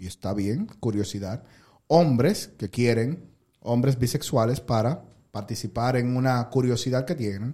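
Speaking at a fairly slow pace, a man has a dark, mellow tone at medium pitch with ordinary pitch variation. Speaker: podcast host. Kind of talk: casual chat. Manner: low-key, calm-sounding.

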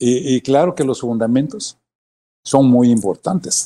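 The man's tone is dark and mellow. He speaks at a fairly slow pace. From Mexico, Michoacán. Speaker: former basketball player. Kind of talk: interview. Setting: video call. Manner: halting, repetitive.

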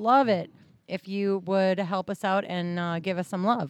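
Here is an ordinary speaking voice with fairly even intonation, recorded dry and close with no echo over a quiet background. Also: woman. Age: 40s. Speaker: podcast co-host. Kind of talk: casual chat.

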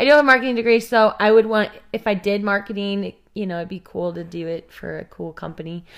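A woman with a Midwestern American accent at a very fast pace, medium pitch with ordinary variation, big swings in loudness, hardly any pauses, on a very clean recording with a silent background. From Kansas City, Missouri. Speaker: missionary and podcast co-host. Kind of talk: casual chat.

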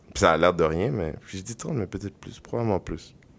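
Very deep and low, the man's pitch still moves in an ordinary way. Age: 30s. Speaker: podcast host. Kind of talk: casual chat.

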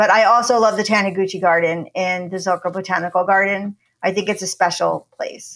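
A woman with an American accent, talking at a fairly quick pace in a flat, monotone delivery. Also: medium pitch for a woman. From New Jersey. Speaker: documentary producer and university lecturer. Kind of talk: interview.

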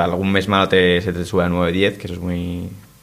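Speaking at a fairly quick pace, a man holds a very deep, low pitch with monotone, flat intonation. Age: 20s. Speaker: clothing brand co-founder. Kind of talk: interview.

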